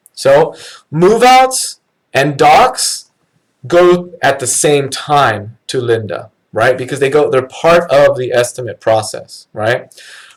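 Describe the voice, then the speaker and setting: A man talks at a very slow pace. His voice is somewhat breathy and fairly high in pitch. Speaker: company trainer. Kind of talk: live training webinar. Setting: online live stream. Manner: casual, many fillers.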